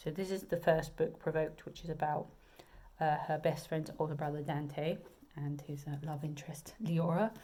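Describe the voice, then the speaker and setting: With a southern English accent, the speaker uses a dark, mellow tone that is somewhat breathy, talking at a moderate pace in a monotone, flat intonation. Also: woman, very deep, low pitch for a woman. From southern England. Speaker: romance author. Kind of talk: casual video chat. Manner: hesitant, many fillers.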